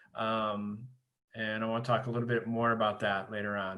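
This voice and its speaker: This man speaks at a medium pitch. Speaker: high school teacher. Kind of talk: presentation to parents on video call. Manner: fast.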